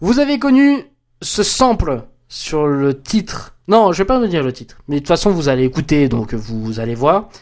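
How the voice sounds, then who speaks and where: A man's fairly high voice with very wide pitch swings on a very clean recording with a silent background. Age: 20s. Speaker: podcast host. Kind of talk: casual solo commentary. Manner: halting, many repetitions and fillers.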